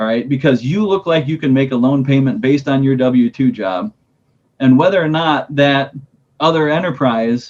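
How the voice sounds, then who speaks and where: A man speaks in an ordinary speaking voice. His pitch variation is ordinary. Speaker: agricultural lender. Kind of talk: webinar presentation.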